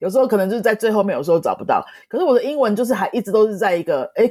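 A woman with a Taiwanese accent speaks at a very fast pace in a fairly high pitch. Her tone is dark and mellow, and the sound is dry and close with no echo. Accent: Taiwanese Mandarin. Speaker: Spanish teacher and author. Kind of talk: interview.

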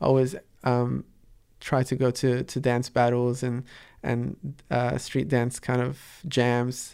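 Speaking at a very slow pace with long, frequent pauses, a man uses a medium pitch and monotone, flat intonation, with a slight American accent. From Dubai-born, Palestinian parents, raised in Sydney from 11. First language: Arabic. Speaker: artist and street dancer. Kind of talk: interview. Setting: radio studio. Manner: halting, many fillers and repetitions.

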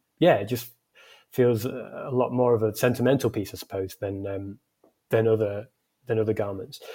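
With a dark, mellow tone and a somewhat breathy quality, a man speaks at a moderate pace and medium pitch, keeping a fairly even intonation and leaving long, frequent pauses. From northern England, Scunthorpe (Lincolnshire). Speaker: founder and designer of an outdoor clothing brand. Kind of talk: casual interview chat.

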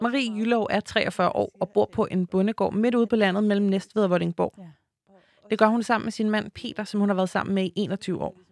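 The speech is monotone, with flat intonation, at a moderate pace. The sound is dry and close with no echo. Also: woman, medium pitch for a woman. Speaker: podcast host. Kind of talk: scripted narration.

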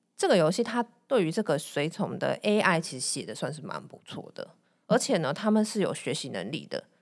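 In a very clean recording with a silent background, a woman speaks with vocal fry and lively intonation. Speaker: podcast co-host. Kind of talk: casual chat.

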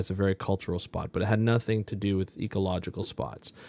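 Against a quiet background, a man with a Canadian accent speaks very fast in a dark, mellow tone at a fairly low pitch. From Ontario, Canada. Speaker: marine ecologist, podcast host. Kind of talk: interview.

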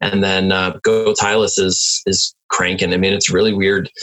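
This man speaks in a fairly low, monotone voice with flat intonation. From Milwaukee, Wisconsin. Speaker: entrepreneur and inventor. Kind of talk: interview conversation. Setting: home office.

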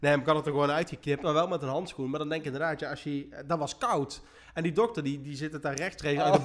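A man with a fairly high pitch at a very fast pace. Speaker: podcast host. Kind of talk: casual chat.

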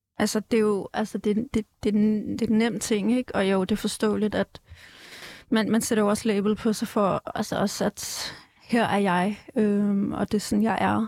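In a very clean recording with a silent background, a woman speaks at a fairly slow pace with a fairly high pitch and flat, monotone intonation. Her loudness stays very even, and the sound is dry and close with no echo. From Denmark, Ballerup. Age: 20s. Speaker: activist. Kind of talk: casual chat. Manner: halting.

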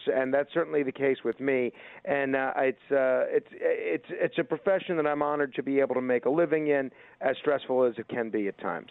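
Here is a man with an American accent and an unremarkable speaking voice. He talks at a fairly quick pace, pitched fairly high, with fairly even intonation. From New York. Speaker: radio host. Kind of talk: casual interview.

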